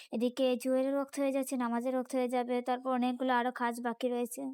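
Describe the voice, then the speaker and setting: A woman with a Sylheti accent speaks at a high pitch in a monotone, flat intonation. The recording is very clean with a silent background, dry and close with no echo. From Bangladesh; Sylhet region, Bangladesh. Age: young. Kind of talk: casual vlog voiceover narration.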